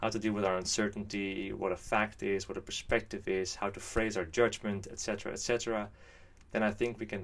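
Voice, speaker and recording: With a Dutch accent, a man talks at a fairly quick pace in a fairly low pitch, his intonation monotone and flat. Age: 20s. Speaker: YouTuber. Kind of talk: scripted monologue.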